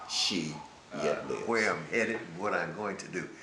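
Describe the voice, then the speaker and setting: A man talks against noticeable background noise. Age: 70s. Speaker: author and businessman. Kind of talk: interview answer.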